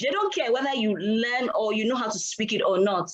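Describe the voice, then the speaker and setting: With a Yoruba accent, the speaker talks at a fairly quick pace. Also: woman. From Nigeria, Yoruba-speaking home. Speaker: reading hub provider. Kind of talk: panel discussion. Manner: halting.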